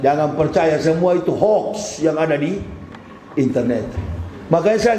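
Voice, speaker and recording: Over noticeable background noise and audible room echo, a man talks at a moderate pace with a high pitch and ordinary pitch variation. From Manado, North Sulawesi. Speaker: Islamic preacher, former pastor. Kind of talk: sermon. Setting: mosque.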